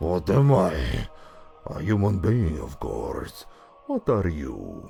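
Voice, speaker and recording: A man's put-on character voice, growling and fairly low-pitched, at a very slow pace, with very wide pitch swings and big swings in loudness. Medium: read story. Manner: cheeky, knowing.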